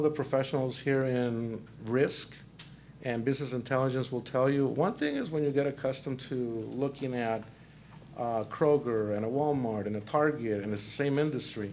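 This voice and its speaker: In a room with audible echo, a man with a Mexican accent speaks at medium pitch and a moderate pace, his intonation fairly even. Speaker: panel moderator, corporate credit risk director. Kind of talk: panel discussion moderation. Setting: conference breakout session with audience.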